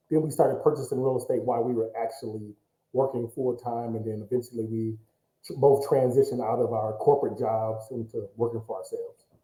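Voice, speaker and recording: Talking at a very fast pace, a man with an American accent keeps his intonation fairly even. His pitch sits in the medium range. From Michigan, US (Pontiac). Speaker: real estate business owner. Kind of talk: interview.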